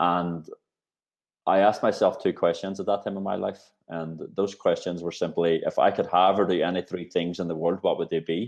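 Against a quiet background, a man talks at a moderate pace. He speaks in a Northern Irish accent. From Northern Ireland. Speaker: talent executive. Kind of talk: interview.

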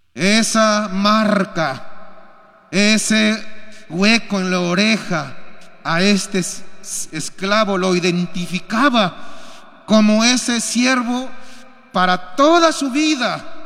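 The speech moves at a very slow pace with lively intonation. Audible room echo surrounds the voice. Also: man, high pitch for a man. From Peru. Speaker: pastor. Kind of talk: sermon. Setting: church.

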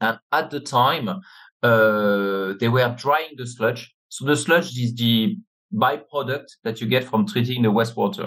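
Lively intonation and a French accent mark this voice, which moves at a fairly slow pace. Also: man, medium pitch for a man. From France. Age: 50s. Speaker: business network chairman. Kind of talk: interview. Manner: halting.

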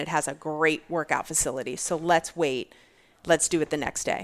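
A woman's unremarkable speaking voice, fairly low in pitch, at a fairly quick pace. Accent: American. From Virginia. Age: 40s. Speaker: fitness athlete and bodybuilder. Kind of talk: casual interview chat.

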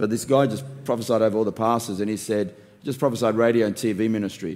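An Australian-accented man speaks fairly quickly at medium pitch in a dark, mellow tone. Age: 50s. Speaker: pastor. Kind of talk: casual interview.

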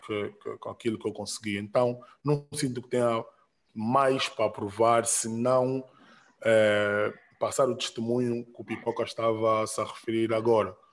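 A man speaks at medium pitch in a monotone, flat voice. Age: 30s. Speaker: rapper and music producer. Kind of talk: casual interview.

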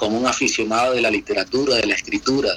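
Over noticeable background noise, a man speaks at a fairly quick pace with a medium pitch. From Colombia, Valledupar (Caribbean coast). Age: 30s. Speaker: lawyer and Colombian immigrant. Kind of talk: interview. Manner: hesitant, many fillers and repetitions.

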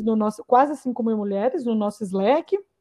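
This woman's voice sits at a fairly high pitch. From Campinas, São Paulo state, Brazil. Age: 30s. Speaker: product manager. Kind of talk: interview conversation.

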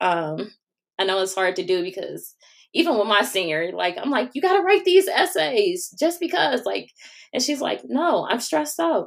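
A woman with an American accent, fairly high in pitch, with very wide pitch swings, vocal fry and a moderate pace. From Cleveland, Ohio. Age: 30s. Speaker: college and career consultant. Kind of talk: interview.

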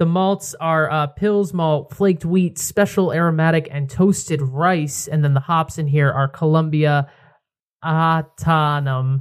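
An unremarkable speaking voice from a man with an American accent, fairly high in pitch, fairly even in intonation and fairly slow, on a very clean recording with a silent background. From Connecticut, near New Haven. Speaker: podcast host. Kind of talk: casual chat. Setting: outdoor patio.

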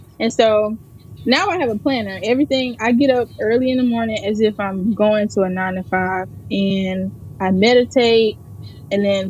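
Somewhat breathy woman's voice of medium pitch with fairly even intonation. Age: 20s. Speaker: personal chef. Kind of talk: interview.

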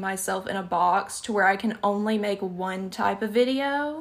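A woman talks with a Southern US accent at a medium pitch. Her pitch varies an ordinary amount. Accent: Southern US, noticeable. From Alabama, US South. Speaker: YouTuber and podcaster. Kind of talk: casual chat. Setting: video call.

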